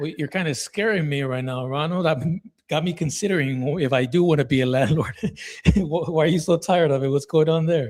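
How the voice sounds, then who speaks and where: A man with a plain, everyday voice speaks at a fairly quick pace, his pitch fairly high and its variation ordinary. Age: 30s. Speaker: real estate investor. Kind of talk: sales call.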